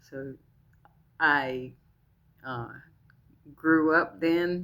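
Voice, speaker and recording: Here a woman speaks in a very deep, low voice with ordinary pitch variation. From military family, moved around (born New Hampshire, Georgia, Kansas, Iran). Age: 60s. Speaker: retiree vlogger. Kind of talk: personal storytelling to camera. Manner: casual, a bit halting.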